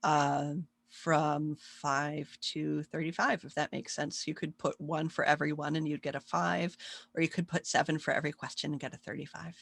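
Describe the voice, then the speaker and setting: With vocal fry and a very deep, low pitch, a woman speaks in fairly even intonation, and the sound is dry and close with no echo. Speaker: psychology professor. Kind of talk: recorded online lecture. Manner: fast.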